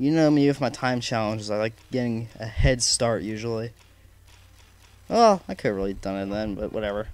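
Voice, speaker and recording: A man mumbles at a medium pitch. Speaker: let's play gamer. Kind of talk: gameplay commentary.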